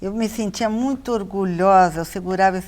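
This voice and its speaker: At a fairly slow pace, a woman of medium pitch speaks with fairly even intonation. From Brazil, São Paulo city. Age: 50s. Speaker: visual artist. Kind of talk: interview.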